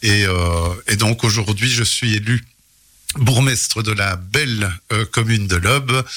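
Fairly low in pitch with a bright, sharp tone, a man speaks with fairly even intonation on a very clean recording with a silent background. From Belgium, Charleroi region (Hainaut). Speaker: mayor. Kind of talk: radio interview. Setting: radio studio.

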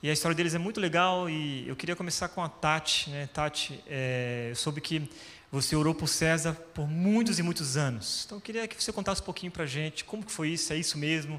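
A man's fairly high-pitched, plain, everyday voice at a fairly quick pace, with hardly any pauses and ordinary pitch variation. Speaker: pastor. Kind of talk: church stage interview. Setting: stage with audience.

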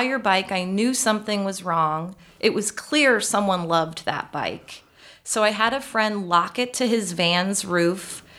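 With an American accent, a woman speaks at a fairly slow pace. Her tone is bright and sharp, and her intonation is lively. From US Midwest, Chicago area. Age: 40s. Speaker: account director. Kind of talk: interview. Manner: laughs often.

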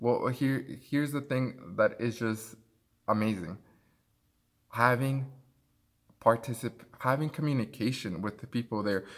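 A man with a Spanish accent, at a fairly slow pace with long, frequent pauses, in a very clean recording against a silent background. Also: medium pitch for a man, ordinary pitch variation. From Mexico. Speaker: podcast co-host. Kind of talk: casual chat. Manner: halting.

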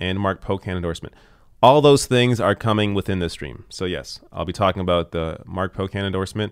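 An unremarkable speaking voice from a man with a Canadian accent, fairly low in pitch with ordinary pitch variation, at a fairly quick pace on a very clean recording with a silent background. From Canada. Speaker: political commentator. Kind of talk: live stream commentary.

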